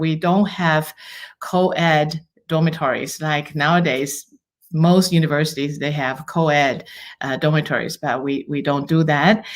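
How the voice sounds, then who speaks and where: A woman's very deep, low voice with a Chinese accent and fairly even intonation. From Taiwan. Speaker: university international student advisor. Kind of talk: podcast interview.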